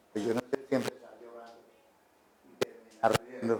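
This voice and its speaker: A man's flat, monotone voice in a dry, close sound with no echo. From Colombia, Arauca. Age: 80s+. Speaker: writer. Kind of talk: public talk. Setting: café with live audience.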